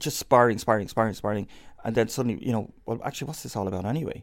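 A man with a Dublin accent talks at a very fast pace and a medium pitch. The recording is very clean, with a silent background. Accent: Dublin Irish. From Ireland, inner city Dublin. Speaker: professor and research institute director. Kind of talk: interview.

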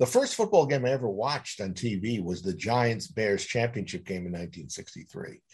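The voice is somewhat breathy, with an American accent. The pace is moderate. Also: man. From New York City (Queens). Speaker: author. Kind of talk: interview.

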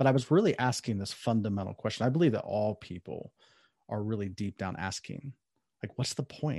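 Against a quiet background, a man with a Midwestern accent speaks with ordinary pitch variation. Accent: General American (Midwest). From US Midwest (Columbus, Ohio). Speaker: author and life coach. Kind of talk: interview conversation.

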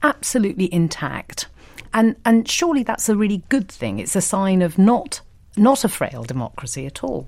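Very wide pitch swings from a woman at a moderate pace. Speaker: interviewer. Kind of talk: interview.

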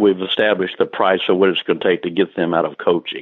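A man with a Texan accent and monotone, flat intonation. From Texas, Taylor. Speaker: sports columnist. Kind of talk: interview.

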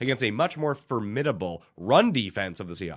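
An energetic tone with vocal fry comes through on a very clean recording with a silent background. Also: man. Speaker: fantasy football and sports betting podcast host. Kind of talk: sports betting picks show. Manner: energetic, fast.

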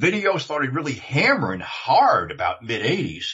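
A man with an American accent talks at a moderate pace with lively intonation. His is an unremarkable speaking voice. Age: 60s. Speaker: former video industry insider. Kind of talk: casual chat.

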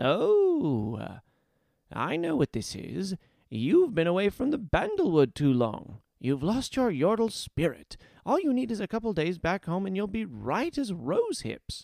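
A man speaks at a fairly slow pace in a put-on character voice pitched high, on a very clean recording with a silent background. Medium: read story. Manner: chipper, coaxing, warm.

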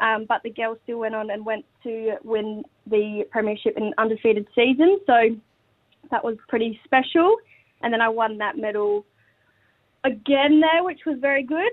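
Moderate pace, long and frequent pauses, and ordinary pitch variation. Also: woman, fairly high pitch for a woman. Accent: Australian. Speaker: women's footballer and school teacher. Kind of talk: casual radio interview.

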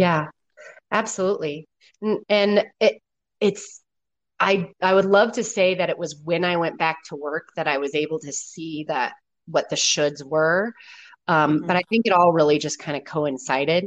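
A woman talks in an ordinary speaking voice at a fairly low pitch, with ordinary pitch variation. Her pace is moderate, and the background is quiet. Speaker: guest, working mother. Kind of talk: casual conversational interview. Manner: relaxed, chatty, humorous.

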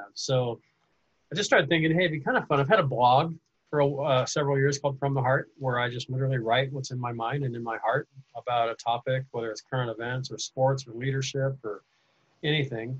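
A man with an American accent and a somewhat breathy voice talks at a fairly quick pace, the sound dry and close with no echo. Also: medium pitch for a man, fairly even intonation. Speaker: podcast host and teacher. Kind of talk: casual interview chat.

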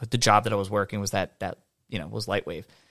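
A man's fairly low voice with vocal fry on a very clean recording with a silent background. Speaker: streamer. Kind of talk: casual chat. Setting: studio.

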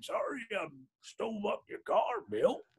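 A man's put-on character voice, gravelly and extremely high-pitched, at a fairly slow pace. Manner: casual, unapologetic.

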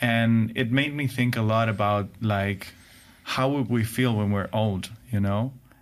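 A man speaks at a fairly slow pace in a medium pitch. His intonation is fairly even and his loudness very even. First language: Spanish. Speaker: podcast host. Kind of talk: casual chat. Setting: studio.

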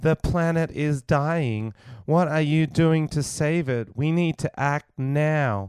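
A man puts on a robotic character voice with fairly high pitch, speaking at a fairly slow pace in a very clean recording with a silent background.

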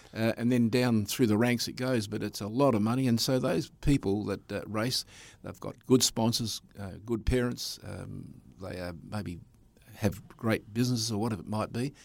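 A man with an Australian accent speaks at a moderate pace in a very clean recording with a silent background. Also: medium pitch for a man, ordinary pitch variation. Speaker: speedway race commentator. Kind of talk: interview.

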